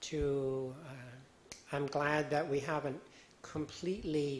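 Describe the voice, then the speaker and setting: A man's somewhat breathy voice, fairly high in pitch, with an American accent. His intonation stays fairly even. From United States. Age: 60s. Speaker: Buddhist monk. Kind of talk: dharma talk. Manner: halting.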